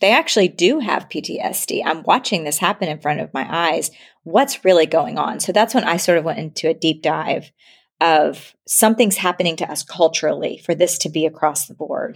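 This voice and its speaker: Recorded very cleanly with a silent background, a woman has an unremarkable speaking voice. She talks at a fairly low pitch and fairly quick pace with ordinary pitch variation. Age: 40s. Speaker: marriage and family therapist. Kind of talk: interview conversation.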